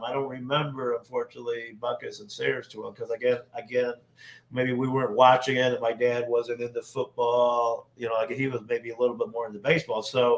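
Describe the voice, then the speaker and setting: With noticeable background noise behind him, a man with a Chicago-area accent speaks at a fairly quick pace and medium pitch with fairly even intonation. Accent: Chicago-area Midwestern American. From Northwest Indiana, near Chicago. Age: 60s. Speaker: sports superfan. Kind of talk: casual podcast interview.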